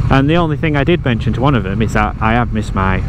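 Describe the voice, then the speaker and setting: A man with a Yorkshire accent talks at a very fast pace and medium pitch with lively intonation, over noticeable background noise and audible room echo. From Yorkshire, northern England. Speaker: motorcycle travel vlogger. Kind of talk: casual vlog narration. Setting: riding a motorcycle outdoors.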